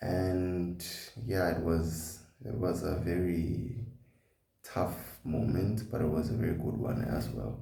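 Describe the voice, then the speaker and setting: This man has a very deep, low voice with a dark, mellow tone and vocal fry, speaking very slowly with lively intonation, and the room echo is audible. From South Africa, KwaZulu-Natal. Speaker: vlogger. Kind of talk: personal vlog.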